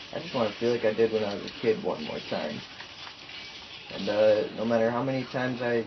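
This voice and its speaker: Medium-pitched male speech at a fairly quick pace, with noticeable background noise and audible room echo. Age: 20s. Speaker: youtuber, college student. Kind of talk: casual vlog monologue. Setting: home, single take. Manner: halting, many fillers.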